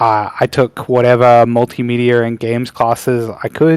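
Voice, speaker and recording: In a very clean recording with a silent background and a dry, close sound with no echo, a man of medium pitch speaks at a fairly slow pace with an Australian accent. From Western Australia, Perth. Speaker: game industry professional. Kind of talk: presentation. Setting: panel event with audience. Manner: hesitant, many fillers.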